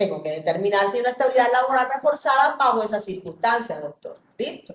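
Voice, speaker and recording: With very wide pitch swings, a woman talks at a high pitch and a very fast pace. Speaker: judge. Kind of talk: court hearing.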